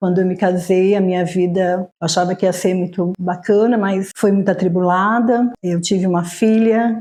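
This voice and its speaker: Her voice is somewhat breathy, with a dark, mellow tone, medium pitch and fairly even intonation as this woman speaks at a fairly slow pace. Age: 60s. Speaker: church worker. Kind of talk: testimony.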